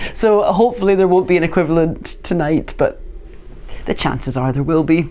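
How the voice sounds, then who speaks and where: Delivery is fairly quick. Background noise is noticeable. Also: woman, fairly low pitch for a woman, ordinary pitch variation. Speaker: auctioneer. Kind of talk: interview answer.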